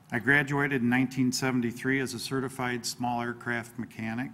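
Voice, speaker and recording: A man speaks over noticeable background noise. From northern Illinois, US. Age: 60s. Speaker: political candidate. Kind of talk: candidate forum opening statement.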